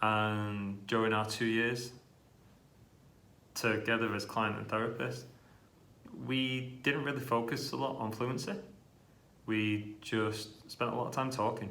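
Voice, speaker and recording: A man with a British accent at medium pitch, fairly slow and fairly even in intonation, with long, frequent pauses and audible room echo. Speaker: speech therapist who stutters. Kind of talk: interview testimony.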